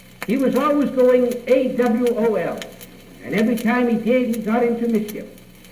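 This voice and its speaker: There is noticeable background noise as a man talks at an extremely high pitch. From Cape Cod, Massachusetts. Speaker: storyteller. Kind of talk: radio tall tale telling. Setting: radio studio.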